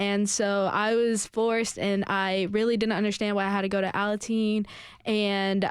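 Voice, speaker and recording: A woman speaks at a moderate pace in a medium pitch. Her intonation is monotone and flat, and her loudness stays very even. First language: Spanish. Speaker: Alateen member. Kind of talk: radio interview. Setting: radio studio. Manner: halting.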